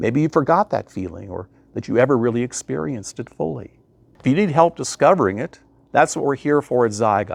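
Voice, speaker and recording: Fast-ish and full of vocal fry, a man talks at a fairly quick pace and medium pitch with very wide pitch swings. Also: dry, close sound with no echo, quiet background. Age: 70s. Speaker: life coach. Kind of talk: motivational talk.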